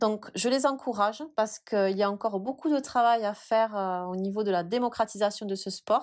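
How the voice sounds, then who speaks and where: A woman with a normal speaking voice talks at a moderate pace and fairly high pitch, with ordinary pitch variation and hardly any pauses, in a very clean recording with a silent background. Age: 30s. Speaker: pole dance studio founder. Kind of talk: interview.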